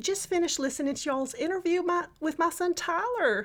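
A woman puts on a squeaky character voice with a Texan accent, pitched extremely high. She delivers it at a fairly quick pace with lively intonation.

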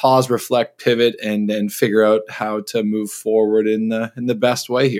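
On a very clean recording with a silent background, a man with a Canadian accent speaks at a moderate pace and a medium pitch in a plain, everyday voice. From Ontario, Canada. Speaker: travel writer. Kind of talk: interview.

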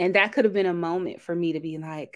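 In an ordinary speaking voice, a woman with a fairly low pitch talks with fairly even intonation on a very clean recording with a silent background. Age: 30s. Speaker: breast cancer survivor. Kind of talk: testimony.

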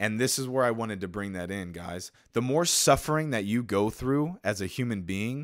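Over a very clean recording with a silent background, a man with an American accent talks at a fairly low pitch with ordinary pitch variation in a plain, everyday voice. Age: 20s. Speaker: podcast host. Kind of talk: motivational monologue. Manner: many fillers (uh, um).

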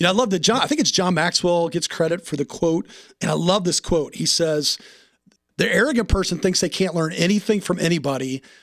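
A man with an American accent, a high pitch, ordinary pitch variation and a fairly quick pace. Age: 50s. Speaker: podcast host, men's ministry director. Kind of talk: interview conversation.

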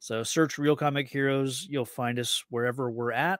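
In a very clean recording with a silent background and a dry, close sound with no echo, a man with a fairly high pitch speaks at a moderate pace in an ordinary speaking voice. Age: 30s. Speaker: comic book podcaster. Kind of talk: casual chat.

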